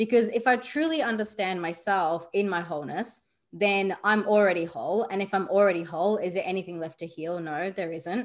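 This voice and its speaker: Woman with an Australian accent against a quiet background. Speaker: spiritual coach. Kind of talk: interview.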